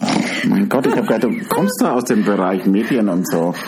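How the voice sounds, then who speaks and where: Against noticeable background noise and audible room echo, a man talks at a moderate pace with very wide pitch swings. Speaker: podcast co-host. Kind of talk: casual chat. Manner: animated.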